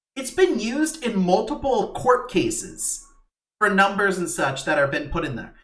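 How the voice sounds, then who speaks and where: Through audible room echo, a man with a high voice speaks at a moderate pace with very wide pitch swings. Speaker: podcast co-host. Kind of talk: casual chat. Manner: halting, many fillers and restarts.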